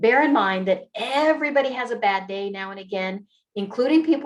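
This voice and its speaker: Using lively intonation, a woman with an unremarkable speaking voice talks at a fairly quick pace. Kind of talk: online training presentation. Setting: video call with screen share.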